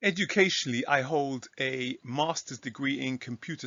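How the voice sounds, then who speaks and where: A man's medium-pitched voice moves at a moderate pace, with ordinary pitch variation. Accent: English. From England. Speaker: Bible teacher. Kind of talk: casual talk to camera. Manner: halting with fillers.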